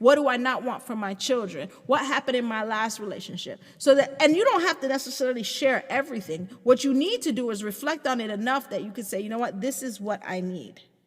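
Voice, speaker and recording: Amid noticeable background noise, a woman with a high pitch talks at a fairly quick pace in an animated tone, with ordinary pitch variation, hardly any pauses and big swings in loudness. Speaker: podcast host. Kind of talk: casual monologue. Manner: fast.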